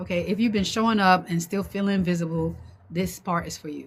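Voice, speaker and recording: A woman speaks with an American accent at a fairly quick pace. Her voice is fairly low in pitch and somewhat breathy. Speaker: online business coach. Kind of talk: livestream talk to viewers. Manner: fast; halting, many fillers and repeats.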